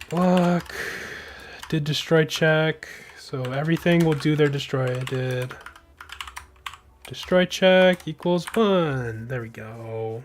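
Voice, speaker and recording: Very slow speech with an American accent, long and frequent pauses, and noticeable background noise. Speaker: game developer streamer. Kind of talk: live-stream coding commentary.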